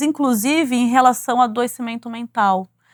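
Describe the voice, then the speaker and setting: Heard in a very clean recording with a silent background and a dry, close sound with no echo, a woman speaks at a high pitch with ordinary pitch variation. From Brazil, São Paulo (East Zone). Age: 40s. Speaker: corporate executive and author. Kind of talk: interview.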